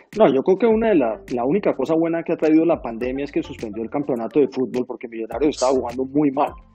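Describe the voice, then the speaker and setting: A man's fairly high voice, very fast with hardly any pauses and lively intonation, over music in the background. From Colombia, Bogotá. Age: 60s. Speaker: central bank board member, economist. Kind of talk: interview. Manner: frequent filler hesitations.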